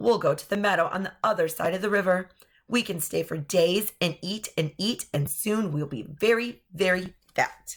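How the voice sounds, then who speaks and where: A raspy, female-sounding put-on character voice at a middle pitch and a moderate pace. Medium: read story.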